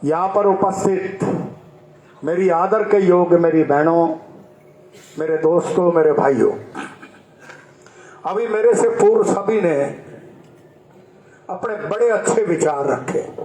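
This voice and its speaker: Amid noticeable background noise and audible room echo, a man with a high pitch and ordinary pitch variation speaks with long, frequent pauses. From Haryana, Rohtak. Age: 70s. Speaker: political speaker. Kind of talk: public speech.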